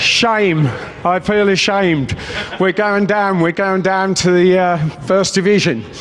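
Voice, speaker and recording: A man talks at a fairly slow pace with a high pitch, ordinary pitch variation and very even loudness. The recording has audible room echo and noticeable background noise. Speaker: political candidate. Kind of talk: rally speech. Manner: off the cuff.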